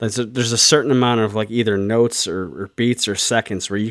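The recording is very clean and the background silent. A man with a fairly low pitch speaks at a very fast pace with fairly even intonation. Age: 40s. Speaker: metal podcast co-host. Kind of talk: casual chat. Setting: home studio in living room.

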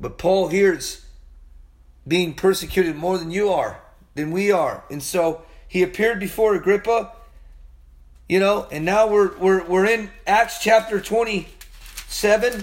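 With noticeable background noise behind him, a man speaks in an animated tone at a high pitch with ordinary pitch variation. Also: fairly slow pace. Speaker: Bible teacher. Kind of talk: sermon.

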